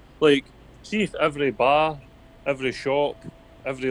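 With a Scottish accent, a man speaks at a fairly high pitch and a fairly quick pace. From Scotland. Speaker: podcast guest, political commentator. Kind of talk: casual chat. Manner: halting, repeats words.

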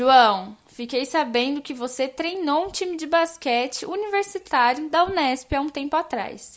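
Delivered with lively intonation, the speech runs on with hardly any pauses. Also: woman, high pitch for a woman. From São Paulo state, Brazil (interior). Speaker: student podcast co-host. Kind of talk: interview.

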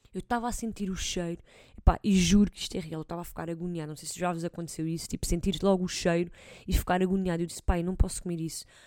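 On a very clean recording with a silent background, the speech runs very fast, with fairly even intonation and big swings in loudness. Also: woman, fairly low pitch for a woman. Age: 20s. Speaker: host's sister, footballer. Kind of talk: casual chat.

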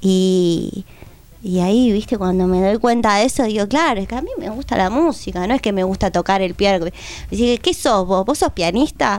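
With lively intonation and an ordinary speaking voice, a woman talks at a moderate pace and a medium pitch. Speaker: musician. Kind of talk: casual chat.

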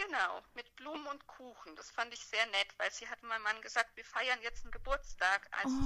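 Her pitch shows ordinary variation. The woman keeps to a moderate pace. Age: 30s. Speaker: mother telling her birth story. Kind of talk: testimony.

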